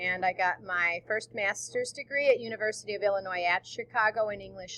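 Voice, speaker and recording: The pace is moderate. The sound is dry and close, with no echo. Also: woman. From US Midwest and elsewhere, moved around. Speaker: teacher. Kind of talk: recorded presentation.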